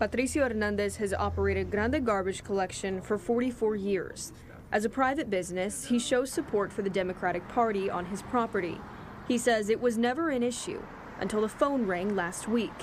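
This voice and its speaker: A woman with an unremarkable speaking voice talks at a fairly quick pace, her fairly high pitch showing ordinary pitch variation. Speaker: TV news reporter. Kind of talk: TV news report.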